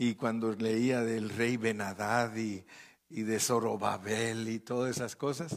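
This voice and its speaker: A man speaks at a very slow pace in a medium pitch. His intonation stays fairly even. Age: 70s. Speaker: pastor. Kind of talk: sermon.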